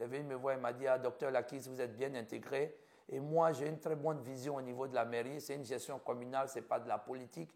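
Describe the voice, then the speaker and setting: The speaker talks at a fairly quick pace with an Ivorian accent. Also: man. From Ivory Coast. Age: 50s. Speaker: physician. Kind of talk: interview.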